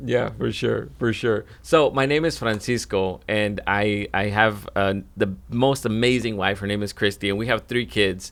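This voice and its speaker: A man with a plain, everyday voice talks at a fairly slow pace and a fairly low pitch, with ordinary pitch variation and hardly any pauses. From Mexico, raised in US from young child. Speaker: podcast co-host, church minister. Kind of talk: casual chat.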